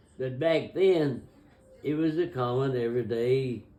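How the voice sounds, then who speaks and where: Audible room echo surrounds a man who speaks at a moderate pace in a medium pitch with ordinary pitch variation. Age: 90s. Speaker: grandfather telling family history. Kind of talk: oral history interview. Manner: halting.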